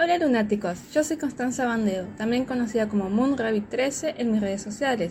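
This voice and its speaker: A woman speaks with a strong Argentine Litoral accent at a fairly high pitch. She barely pauses, and her loudness stays very even. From Argentina, Reconquista, northern Santa Fe (Litoral). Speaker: podcaster and literature teacher. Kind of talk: casual podcast monologue. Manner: fast; hesitant with fillers.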